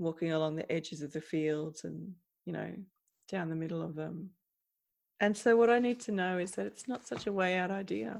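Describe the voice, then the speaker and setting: A woman's fairly low voice in an Australian accent, fairly quick with lively intonation and long, frequent pauses. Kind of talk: casual chat.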